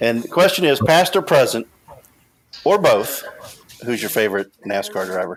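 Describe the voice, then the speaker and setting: A man talks with a Midwestern American accent. His pitch swings very widely. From Southwest Ohio, Cincinnati area. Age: 40s. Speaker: podcast host. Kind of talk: casual chat.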